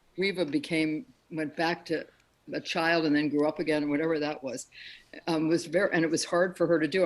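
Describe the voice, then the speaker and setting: Talking at a very fast pace, a woman with an American accent speaks at a fairly low pitch. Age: 70s. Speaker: soap opera actress. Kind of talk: interview. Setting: video call.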